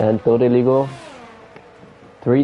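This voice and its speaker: Music plays behind a man speaking with a non-native accent. His pace is fairly slow and his intonation monotone and flat. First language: not English. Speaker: sim racing commentator. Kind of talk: live commentary.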